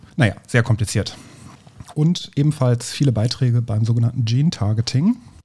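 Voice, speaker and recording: A man's somewhat breathy, dark and mellow voice at medium pitch, with ordinary pitch variation, very even loudness and a moderate pace. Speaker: teacher and podcast host. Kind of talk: casual science chat.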